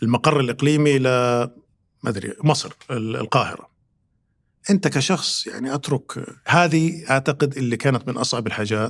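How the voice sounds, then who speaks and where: The pace here is moderate. The pitch varies in an ordinary way. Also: man, medium pitch for a man. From Saudi Arabia, Riyadh. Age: 50s. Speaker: consulting firm executive. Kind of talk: podcast interview. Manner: hesitant, many fillers.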